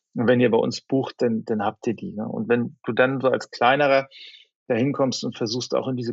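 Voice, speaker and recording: With ordinary pitch variation and a medium pitch, a man speaks at a fairly quick pace. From northern Germany, Flensburg. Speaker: media company executive. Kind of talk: interview. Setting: remote call. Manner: halting, many fillers.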